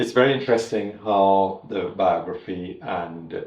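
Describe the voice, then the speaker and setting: Against audible room echo, a man speaks at a fairly slow pace and a fairly low pitch, with ordinary pitch variation. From Trinidad and Tobago. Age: 70s. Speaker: master tailor. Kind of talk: interview storytelling. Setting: in-person interview.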